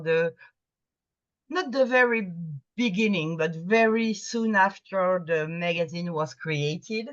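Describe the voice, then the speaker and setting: Speaking at a medium pitch with ordinary pitch variation, a woman with a French accent keeps a fairly slow pace. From France. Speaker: Sherlockian magazine editor. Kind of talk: presentation to a video meeting. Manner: halting, with fillers and restarts.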